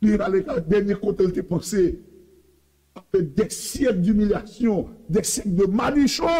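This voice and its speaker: A man speaks at a fairly slow pace in a high voice with lively intonation. The background is quiet. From Haiti. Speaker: preacher. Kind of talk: sermon. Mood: preaching, passionate. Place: studio.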